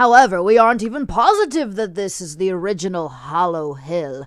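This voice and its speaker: A put-on character voice at a middle pitch moves at a fairly quick pace, with very wide pitch swings and big swings in loudness. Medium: read story. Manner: dry, condescending.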